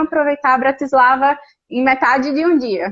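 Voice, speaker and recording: This is a woman talking in a high pitch. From Brazil, Natal (Northeast). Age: 30s. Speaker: Brazilian expat living abroad. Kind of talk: casual interview chat.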